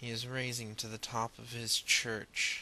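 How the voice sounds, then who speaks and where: A man's bright, sharp tone in monotone, flat intonation, at a medium pitch and a fairly slow pace. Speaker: amateur comic artist. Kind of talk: reading of own fantasy story.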